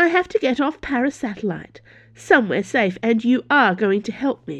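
A female-sounding put-on character voice, high-pitched, at a moderate pace. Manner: snappish, indignant.

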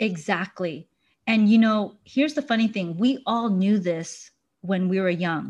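Against a quiet background, a woman sounds somewhat breathy with lively intonation. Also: medium pitch for a woman, fairly slow pace. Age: 40s. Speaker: clinical hypnotherapist and mindfulness researcher. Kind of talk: casual interview chat.

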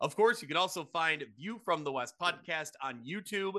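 A man's bright, sharp voice with a Midwestern US accent and ordinary pitch variation, over a quiet background. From Quad Cities area, Illinois/Iowa. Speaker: high school football podcast host. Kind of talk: casual sports podcast chat.

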